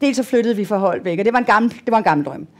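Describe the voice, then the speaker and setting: A woman with lively intonation. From Denmark. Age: 60s. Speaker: patient. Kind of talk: panel interview. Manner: halting.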